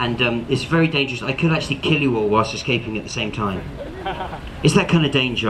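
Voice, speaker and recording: Very fast, animated speech over noticeable background noise. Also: man. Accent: English. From Cornwall, England. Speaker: street performer / escape artist. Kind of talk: live street show patter. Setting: outdoors, public square with audience. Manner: animated, comedic.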